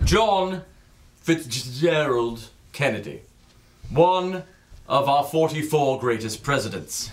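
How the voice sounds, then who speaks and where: A man speaks at a very slow pace with lively intonation. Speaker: comic performer reading pieces. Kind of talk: comedic dramatic reading. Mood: grandiose, mock solemn. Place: stage.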